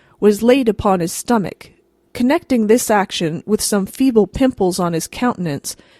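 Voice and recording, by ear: A natural-sounding voice reads the passage aloud.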